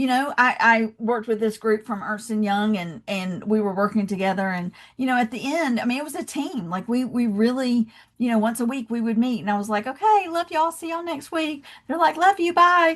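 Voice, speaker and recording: Speaking with a Southern US accent, a woman has a high pitch. Her intonation is lively, and her pace is fairly quick. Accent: Southern American. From US South, Georgia. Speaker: love and leadership speaker, founder. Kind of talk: podcast interview.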